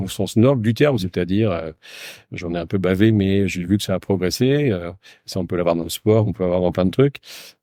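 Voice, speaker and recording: A man's very deep, low voice carries a dark, mellow tone against a quiet background. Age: 60s. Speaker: company founder. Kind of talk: casual interview. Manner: halting.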